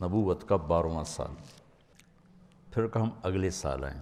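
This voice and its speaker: Ordinary pitch variation from a man with a very deep, low voice. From Pakistan. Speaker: Islamic scholar and preacher. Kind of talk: religious sermon (bayan).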